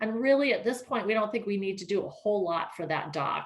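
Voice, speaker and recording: A woman at a fairly quick pace. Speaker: ferry project presenter. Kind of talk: presentation with Q&A. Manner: fast.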